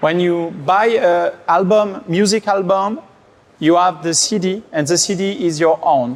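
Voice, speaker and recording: Over noticeable background noise, a man with a French accent speaks at a very slow pace and a high pitch for a man. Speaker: tech company executive and conference speaker. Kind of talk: conference talk. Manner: hesitant, many fillers.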